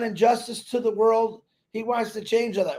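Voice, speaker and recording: A man speaks at a moderate pace with an extremely high pitch. His tone is dark and mellow. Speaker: network marketing promoter. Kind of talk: live stream talk. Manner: loud; animated.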